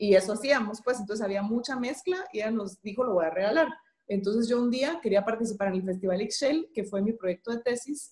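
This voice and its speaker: Talking at a fairly quick pace, a woman sounds somewhat breathy, her fairly high pitch moving in lively intonation. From Guatemala. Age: 30s. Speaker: entrepreneur and graphic designer. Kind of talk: interview.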